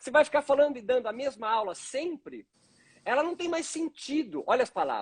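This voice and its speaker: The speech moves at a fairly quick pace with lively intonation in a dry, close sound with no echo. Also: man, extremely high pitch for a man. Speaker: yoga professor. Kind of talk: live stream interview. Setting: online live stream.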